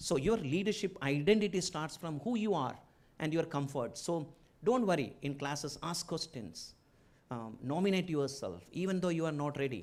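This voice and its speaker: In a strong Keralan accent, a man talks with lively intonation at a fairly high pitch. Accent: strong Malayali (Indian). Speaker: business executive and entrepreneur, chief guest speaker. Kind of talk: inaugural speech. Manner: halting, with fillers.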